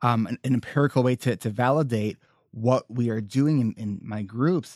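In a normal speaking voice, a man talks at a fairly slow pace with medium pitch and ordinary pitch variation. The sound is dry and close, with no echo. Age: 30s. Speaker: therapist, coach and podcaster. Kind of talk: casual interview.

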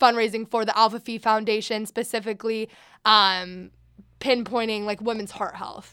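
Speaking at a fairly quick pace with an American accent, a woman has a fairly high pitch and a bright, sharp tone, in a very clean recording with a silent background. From Sacramento, California. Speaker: sorority president, university student. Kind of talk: casual interview. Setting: studio.

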